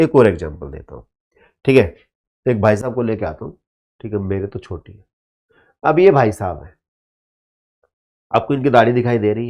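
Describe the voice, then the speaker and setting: Man at medium pitch and moderate pace, dark, mellow tone, lively intonation, big swings in loudness, long, frequent pauses. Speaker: teacher. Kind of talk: lecture. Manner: animated.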